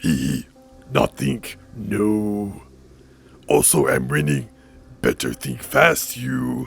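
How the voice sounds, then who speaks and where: A put-on character voice from a man, very deep and low, husky and raspy, at a very slow pace with faint music in the background. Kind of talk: broken, simple speech. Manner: playful, menacing.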